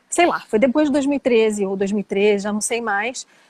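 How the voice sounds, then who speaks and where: The sound is dry and close, with no echo. A woman talks in a fairly high pitch and her pitch varies in an ordinary way. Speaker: flamenco singer. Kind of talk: interview. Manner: casual, conversational.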